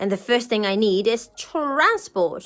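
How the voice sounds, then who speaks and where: Putting on a character voice, a woman speaks at a fairly high pitch with lively intonation. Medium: read story. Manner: bright, eager.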